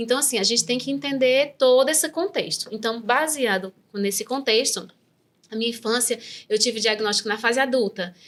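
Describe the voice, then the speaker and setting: Ordinary pitch variation runs through fairly quick speech. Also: woman, fairly high pitch for a woman. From Brazil, raised in the rural Northeast. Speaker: neuropsychopedagogue. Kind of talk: interview testimony. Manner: halting, with many fillers.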